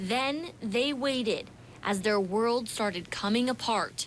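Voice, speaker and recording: Very slowly, a woman speaks in an American accent, her fairly high voice showing ordinary pitch variation. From Philadelphia area, Pennsylvania. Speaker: TV news reporter. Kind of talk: TV news feature narration.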